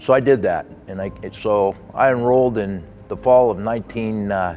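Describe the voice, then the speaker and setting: A man with a western US accent talks at a medium pitch. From Las Vegas, Nevada, US. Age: 60s. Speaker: sports official and donor. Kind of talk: testimony. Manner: halting.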